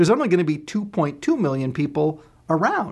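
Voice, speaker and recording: Quiet background, a man with an unremarkable speaking voice and fairly high pitch. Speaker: leadership trainer. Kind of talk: tutorial.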